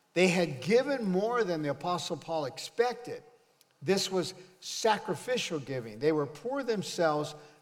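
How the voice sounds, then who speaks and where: Delivered at a fairly slow pace, the voice makes very wide pitch swings amid audible room echo. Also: man. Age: 70s. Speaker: pastor. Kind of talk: sermon. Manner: animated.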